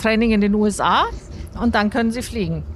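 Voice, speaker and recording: A woman talks at a moderate pace in a plain, everyday voice of medium pitch. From Bavaria, Mühldorf am Inn. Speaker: aerospace engineer and foundation founder. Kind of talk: interview. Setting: in a moving tram.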